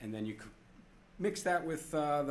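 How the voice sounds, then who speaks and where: Audible room echo follows a man whose pitch is fairly high. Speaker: planetarium director giving a conference talk. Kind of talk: conference presentation. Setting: stage with audience. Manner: casual, with fillers.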